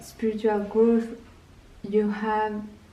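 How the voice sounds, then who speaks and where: A woman speaks in a calm tone at medium pitch, with noticeable background noise and audible room echo. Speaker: tarot card reader. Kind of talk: tarot reading video. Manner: slow.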